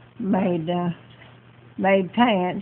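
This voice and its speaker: With monotone, flat intonation, the speaker talks very slowly in a Southern US accent. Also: woman. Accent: Southern American. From Georgia. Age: 80s+. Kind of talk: interview answer.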